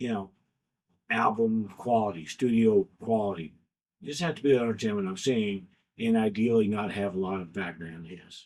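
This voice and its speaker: A man mumbles at a moderate pace in a fairly low pitch with ordinary pitch variation. His loudness swings widely. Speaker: YouTube content creator. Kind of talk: casual talk to camera. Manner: mumbling.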